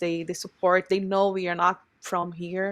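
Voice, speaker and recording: The woman's voice sits at a medium pitch as she talks at a moderate pace. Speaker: brewery co-owner. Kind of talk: casual interview. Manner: repeats words, halting.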